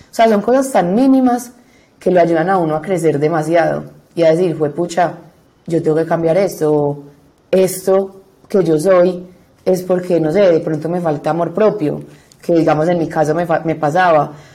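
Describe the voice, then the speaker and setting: This woman's voice has a dark, mellow tone and a fairly low pitch, with ordinary pitch variation at a moderate pace. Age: 20s. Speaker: law student. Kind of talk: testimony.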